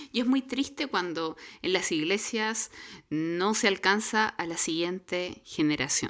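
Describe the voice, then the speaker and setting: In a very clean recording with a silent background, a woman with medium pitch has an unremarkable speaking voice. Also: fairly slow pace. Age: middle-aged. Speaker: church podcast co-host. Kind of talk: casual chat.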